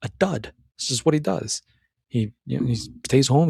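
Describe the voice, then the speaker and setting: An animated, somewhat breathy voice comes through on a very clean recording with a silent background and a dry, close sound with no echo. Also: man. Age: 30s. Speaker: self-improvement podcaster. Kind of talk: solo commentary on a film. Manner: animated, many repetitions and restarts.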